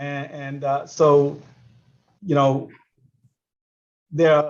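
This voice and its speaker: A man speaks with a Bahamian accent at a very slow pace. His fairly high voice is monotone and flat, with audible room echo. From Bahamas. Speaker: sports coach. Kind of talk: panel discussion. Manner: halting, many repeated words.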